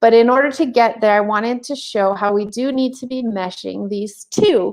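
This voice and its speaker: Against a quiet background, an ordinary speaking voice talks at a moderate pace. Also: woman. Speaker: teacher trainer. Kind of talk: webinar presentation. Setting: online webinar.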